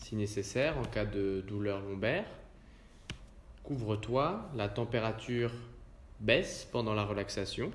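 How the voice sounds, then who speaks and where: A somewhat breathy man's voice at medium pitch, very slow, with long, frequent pauses. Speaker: yoga nidra guide. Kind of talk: guided relaxation / yoga nidra session. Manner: calm, slow, soothing.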